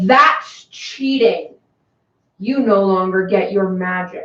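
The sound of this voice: A woman puts on a booming character voice at medium pitch and a very slow pace, with slight echo.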